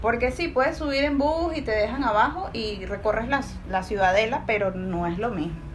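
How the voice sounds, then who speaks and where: A woman with a fairly high pitch speaks at a moderate pace, with lively intonation and hardly any pauses. Audible room echo and noticeable background noise surround her. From Venezuela, Caracas. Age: 30s. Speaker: podcast guest. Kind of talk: casual chat.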